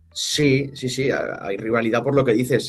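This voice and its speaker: A man talks at a moderate tempo with fairly even intonation. Music can be heard behind him. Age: 20s. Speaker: football club representative, former player. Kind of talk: interview. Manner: halting, many repetitions.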